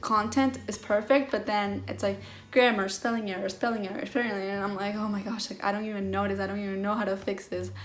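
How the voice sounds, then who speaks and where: Amid noticeable background noise and audible room echo, a woman with an American accent talks at a very fast pace and medium pitch, with fairly even intonation and hardly any pauses. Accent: slight trouble pronouncing some words. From mostly US, early years in Venezuela. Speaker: mental health vlogger. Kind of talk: personal vlog. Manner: casual, many fillers.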